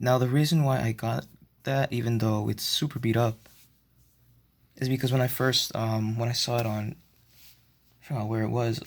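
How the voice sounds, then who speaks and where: A shaky male voice of medium pitch, fairly even intonation and fairly quick pace, on a very clean recording with a silent background. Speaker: model train hobbyist vlogger. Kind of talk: casual show-and-tell narration. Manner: halting, many fillers; shaky voice.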